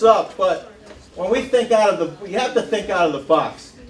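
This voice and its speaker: A man with a high-pitched voice speaks loudly over noticeable background noise. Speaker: town supervisor, local official. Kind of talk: public meeting remarks. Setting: firehouse meeting with audience, wireless mic.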